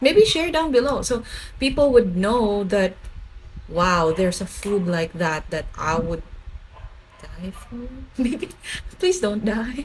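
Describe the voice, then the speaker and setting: A woman at a very slow pace, with very wide pitch swings, big swings in loudness, long and frequent pauses, and noticeable background noise. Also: fairly high pitch for a woman. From Philippines (Bicol). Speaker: food vlogger. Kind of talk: casual vlog talk to camera. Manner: stutters and repeats words when excited; animated.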